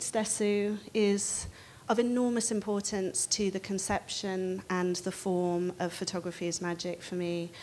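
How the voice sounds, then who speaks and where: A woman speaking at a fairly slow pace over light background noise. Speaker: panel moderator. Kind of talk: panel introduction. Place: hall.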